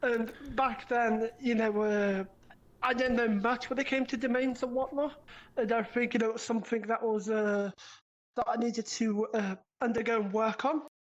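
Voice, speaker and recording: With a British accent, a woman speaks at a moderate pace in a fairly high voice, her intonation fairly even and her loudness very even. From Britain. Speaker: online gaming community admin. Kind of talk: casual interview. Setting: VR live interview.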